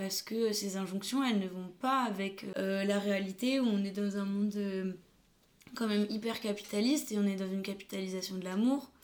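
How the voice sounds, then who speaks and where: At a moderate pace, a woman talks with fairly even intonation in an unremarkable speaking voice. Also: medium pitch for a woman. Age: 20s. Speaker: photographer and videographer. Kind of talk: casual chat.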